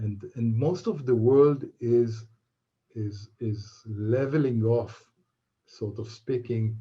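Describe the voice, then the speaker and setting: A man with a non-native accent speaks very slowly at medium pitch, somewhat breathy, in a dark, mellow tone. His intonation stays fairly even. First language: not English. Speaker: aviation expert answering questions. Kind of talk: online Q&A event. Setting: online event. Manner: halting.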